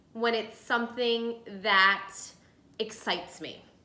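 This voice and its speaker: At a fairly slow pace, a woman with a New Jersey accent speaks in a bright, sharp tone, with room echo clearly audible. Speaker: lifestyle video host. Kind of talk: casual cooking tutorial. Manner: chatty.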